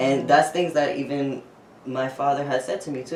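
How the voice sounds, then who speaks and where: The man keeps a moderate pace. His voice carries an audible room echo. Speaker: transgender man interviewed about his transition. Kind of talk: interview. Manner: expressive, talks with hands; hesitant, with fillers.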